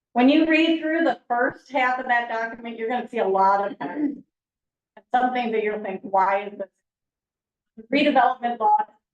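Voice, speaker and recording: At a fairly quick pace, a woman speaks at a fairly high pitch with ordinary pitch variation and big swings in loudness. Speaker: town planner. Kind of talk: presentation.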